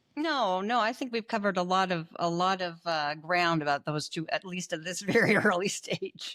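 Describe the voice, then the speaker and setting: Speaking in a slight Canadian accent, a woman with a medium pitch keeps a moderate pace, uses ordinary pitch variation, and takes hardly any pauses. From Canada. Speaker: panel commentator. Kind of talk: casual chat.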